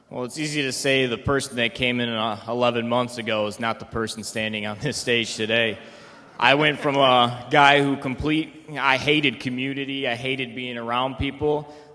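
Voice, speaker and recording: With an American accent, a man speaks in a bright, sharp tone with fairly even intonation. Audible room echo surrounds his voice. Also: medium pitch for a man, moderate pace. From Michigan (Detroit metro, east side). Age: 20s. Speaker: rehab program resident. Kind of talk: testimony. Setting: stage with audience.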